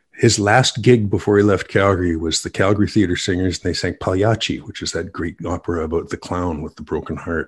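A man with a Canadian accent speaks at a fairly quick pace in a very deep, low, somewhat breathy voice with fairly even intonation. The recording is very clean, with a silent background. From western Canada. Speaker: business owner, author and musician. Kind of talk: casual interview.

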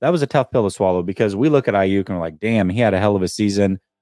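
A man speaks in a normal speaking voice. The sound is dry and close, with no echo. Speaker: sports podcast co-host. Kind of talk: casual sports talk show. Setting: video call livestream.

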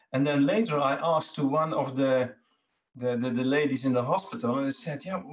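A somewhat breathy, fairly high male voice with a Dutch accent. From Netherlands. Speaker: cancer survivor. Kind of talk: interview testimony. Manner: halting.

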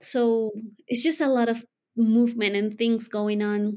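A woman speaks with a Spanish accent in a monotone, flat intonation. The recording is very clean, with a silent background. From Colombia. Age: 30s. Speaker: widow sharing her story. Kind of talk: interview.

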